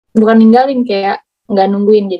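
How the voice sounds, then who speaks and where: Her voice is fairly high-pitched, and the woman keeps her intonation fairly even. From Indonesia, Bandung (Sundanese). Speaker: interviewee living abroad. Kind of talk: casual interview.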